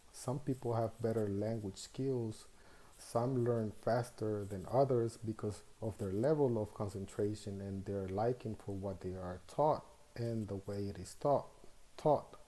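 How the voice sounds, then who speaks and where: A man's fairly low, dark and mellow voice in a Spanish accent at a fairly slow pace. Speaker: student teacher. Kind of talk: reflective monologue. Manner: measured, with hesitations.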